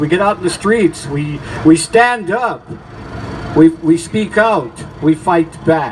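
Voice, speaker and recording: Against noticeable background noise, a man talks at a fairly slow pace. His high voice carries lively intonation. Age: 70s. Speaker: activist speaker at a rally. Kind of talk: protest rally speech. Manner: animated; halting.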